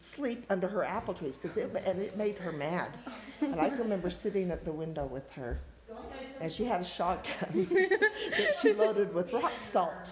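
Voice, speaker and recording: A woman with an American accent talks at medium pitch and a moderate pace, her intonation lively. Both noticeable background noise and audible room echo are present. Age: 60s. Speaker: family member interviewee. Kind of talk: casual family interview.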